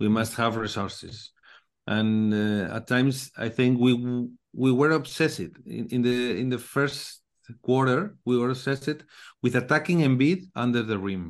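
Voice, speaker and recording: Against a quiet background, a man with a Spanish accent speaks at a moderate pace and medium pitch, using ordinary pitch variation. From Spain. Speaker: Spanish-language basketball podcaster. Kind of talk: casual sports discussion. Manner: halting.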